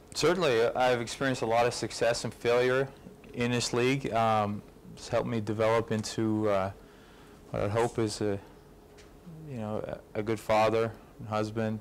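A man talks at a moderate pace with fairly even intonation and long, frequent pauses. Light background noise can be heard. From Canada. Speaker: pro football kicker; guest. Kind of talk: fan event Q&A. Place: hall.

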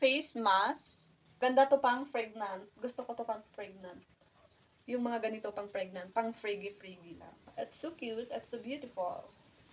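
A woman's normal speaking voice at a fairly high pitch and fairly slow pace, with ordinary pitch variation and big swings in loudness. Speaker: vlogger. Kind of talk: unboxing vlog. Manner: casual.

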